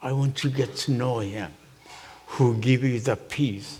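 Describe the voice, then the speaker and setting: Speaking at a very slow pace with ordinary pitch variation, the voice comes through over noticeable background noise. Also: man. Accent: Japanese. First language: Japanese. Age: 80s+. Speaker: minister. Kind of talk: testimony. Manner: halting.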